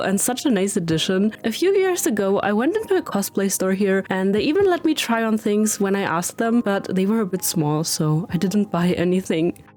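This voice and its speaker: Lively intonation carries speech at a moderate pace over noticeable background noise. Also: woman. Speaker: travel vlogger. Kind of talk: vlog narration.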